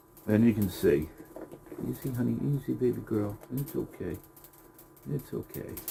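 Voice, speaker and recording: A soft-spoken man talks at a moderate pace with long, frequent pauses. Noticeable background noise runs underneath. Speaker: rabbit breeder. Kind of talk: casual tutorial vlog. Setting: outdoors by rabbit cages. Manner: louder than usual.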